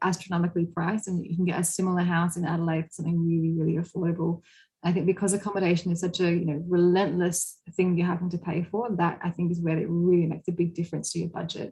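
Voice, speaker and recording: Very fast, monotone speech in an Australian accent, somewhat breathy, with a dark, mellow tone. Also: woman. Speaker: university representative. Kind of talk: online webinar presentation.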